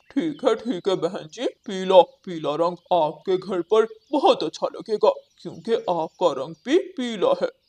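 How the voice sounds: A cartoonish character voice at a middle pitch comes through at a fairly slow pace.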